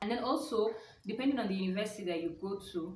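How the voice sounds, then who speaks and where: With light background noise and audible room echo, a woman speaks with ordinary pitch variation. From Nigeria. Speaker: YouTuber. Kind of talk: casual vlog talk. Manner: hesitant, many fillers. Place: home room. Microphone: phone near.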